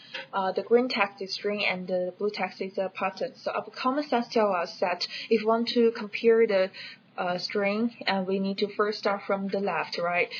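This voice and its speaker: Speaking at a medium pitch, a woman talks with a non-native accent. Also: fairly even intonation, moderate pace. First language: not English. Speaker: educational video creator. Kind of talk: tutorial. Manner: hesitant, with fillers.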